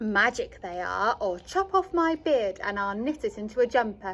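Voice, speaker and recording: Using a put-on character voice, a woman sounds croaky at a fairly high pitch, with very wide pitch swings. Her pace is moderate. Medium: read story.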